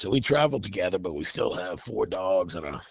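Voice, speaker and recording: Using lively intonation and vocal fry, a man speaks at a fairly quick pace. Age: 60s. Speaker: metal band vocalist and guitarist. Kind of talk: interview. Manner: halting, many fillers and repeats.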